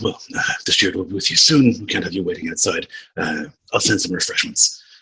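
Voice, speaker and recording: A raspy put-on character voice from a man, delivered at a fairly quick pace. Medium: actual play. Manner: officious, sniffy.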